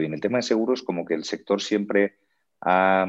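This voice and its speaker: With ordinary pitch variation and a moderate pace, a man speaks over a quiet background. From Spain and Mexico (born Madrid, childhood Canary Islands, Mexico from age 5). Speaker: startup founder and CEO. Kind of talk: interview.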